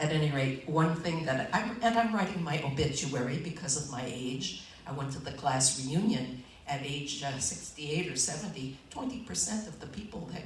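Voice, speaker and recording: Amid noticeable background noise and audible room echo, a woman with a very deep, low pitch speaks with lively intonation. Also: hardly any pauses. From US Midwest, Appleton, Wisconsin. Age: 70s. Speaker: mayoral candidate. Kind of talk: campaign speech.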